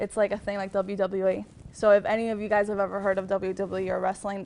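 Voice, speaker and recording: A woman's medium-pitched voice in a slight Miami accent, fairly quick, with flat, monotone intonation. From Miami, Florida (Cuban-American). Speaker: TV news reporter and anchor. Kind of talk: talk to students. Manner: casual, many fillers.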